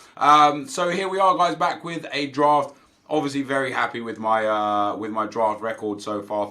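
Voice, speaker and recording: Here a man speaks at medium pitch and a moderate pace, in a bright, sharp tone with lively intonation. The recording is very clean, with a silent background. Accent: British. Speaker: gaming youtuber. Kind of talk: gameplay commentary. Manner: animated.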